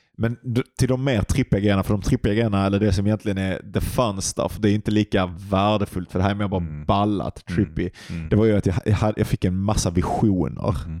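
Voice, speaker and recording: In an ordinary speaking voice, a man talks fairly quickly at a fairly low pitch with ordinary pitch variation, the sound dry and close with no echo. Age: 30s. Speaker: podcast co-host, meditation practitioner. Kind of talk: casual chat.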